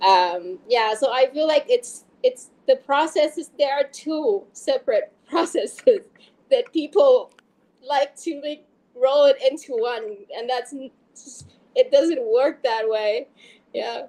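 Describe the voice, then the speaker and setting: A woman speaks at a very slow pace with a non-native accent and a high pitch. Her tone is dark and mellow, and her pitch moves in very wide swings. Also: big swings in loudness. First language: not English. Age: 40s. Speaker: fantasy author. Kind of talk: interview.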